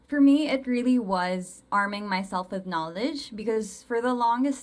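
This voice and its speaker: Noticeable background noise sits behind a woman who speaks at a moderate pace with lively intonation. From Philippines. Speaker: English teacher and colorism advocate. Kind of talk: interview. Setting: livestream.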